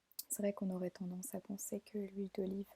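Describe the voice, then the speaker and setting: A soft-spoken woman talks at a medium pitch in a gentle, dark, mellow tone, somewhat breathy, with a dry, close sound and no echo. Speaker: beautician roleplay. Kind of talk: ASMR roleplay. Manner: soft-spoken, gentle.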